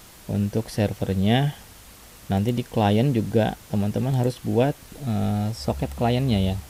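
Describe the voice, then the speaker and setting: In a dark, mellow tone, a man with a fairly low pitch speaks at a very slow pace. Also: ordinary pitch variation. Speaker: programming tutorial youtuber. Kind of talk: coding tutorial. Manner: casual, with fillers and self-corrections.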